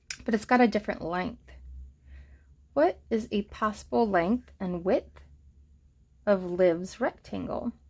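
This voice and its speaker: Speaking fairly slowly at a medium pitch, a woman shows vocal fry, ordinary pitch variation, and long, frequent pauses. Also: very clean recording, silent background. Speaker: elementary school teacher. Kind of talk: tutorial.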